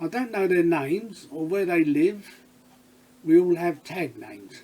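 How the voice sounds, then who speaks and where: At a fairly slow pace, a man talks with a high pitch and ordinary pitch variation. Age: 70s. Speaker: retired electrician. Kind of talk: casual talk to camera, read from notes.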